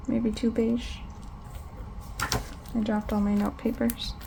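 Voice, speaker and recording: A woman is speaking. Her pace is fairly slow. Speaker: planner hobbyist vlogger. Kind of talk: casual craft tutorial. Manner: louder than usual.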